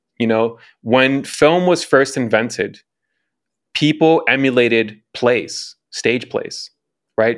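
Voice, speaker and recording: A man with an American accent talks at a fairly slow pace. He has an ordinary speaking voice, medium in pitch, with fairly even intonation. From Chicago. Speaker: commercial film director and executive producer. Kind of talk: casual interview chat.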